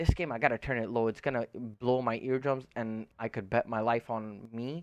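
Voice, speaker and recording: A man with a non-native accent at a medium pitch and moderate pace, fairly even intonation, a quiet background and a dry, close sound with no echo. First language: not English. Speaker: gaming streamer. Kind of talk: tutorial. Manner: casual, filler-heavy.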